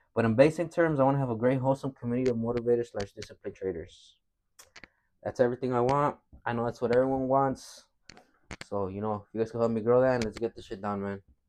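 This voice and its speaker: Over a quiet background, a man talks very fast. His pitch varies in an ordinary way. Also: medium pitch for a man. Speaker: trader. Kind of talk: casual talk to camera. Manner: casual, repetitive, stuttering.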